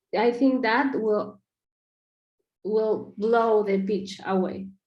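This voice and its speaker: This woman talks at a very slow pace with a non-native accent, her fairly high voice keeping a fairly even intonation. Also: long, frequent pauses. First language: not English. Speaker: project feedback giver. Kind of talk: video call discussion. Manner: halting, many fillers.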